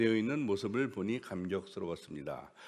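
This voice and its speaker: This is a man talking. Very wide swings mark his pitch. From South Korea, Daejeon; South Korea. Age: 70s. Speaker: scientist giving a lecture; invited guest lecturer. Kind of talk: lecture. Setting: stage with audience. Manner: halting. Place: hall.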